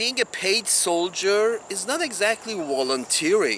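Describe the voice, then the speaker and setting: A man with a non-native accent and very wide pitch swings. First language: not English. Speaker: video blogger. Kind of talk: open letter monologue. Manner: halting, many restarts.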